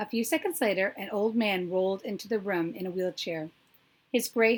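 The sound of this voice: The reading here is unforced. It is an unforced reading voice.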